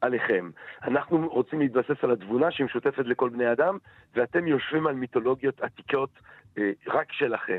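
A man has an ordinary speaking voice at a medium pitch, with ordinary pitch variation and very even loudness. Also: moderate pace. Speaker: philosophy lecturer. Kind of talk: interview. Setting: phone call.

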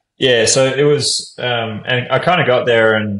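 A man speaks with an Australian accent. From Brisbane, Australia. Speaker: professional basketball player. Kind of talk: casual interview.

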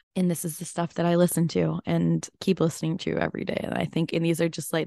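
A woman with a fairly low voice speaks very fast in a dry, close recording with no echo. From Chicago, US Midwest. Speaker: podcast interviewer, former TV reporter. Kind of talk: casual chat. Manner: animated.

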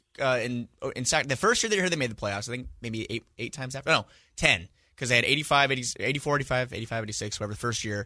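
Against a quiet background, a man with a bright, sharp tone talks at a fairly quick pace, his medium pitch showing ordinary variation. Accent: American. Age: 20s. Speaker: sports writer and co-host. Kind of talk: casual sports talk. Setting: radio studio.

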